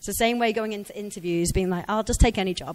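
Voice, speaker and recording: A woman with an English accent talks at a very fast pace and a fairly high pitch. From England. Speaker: career speaker, ex-recruiter. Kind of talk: conference talk. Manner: conversational.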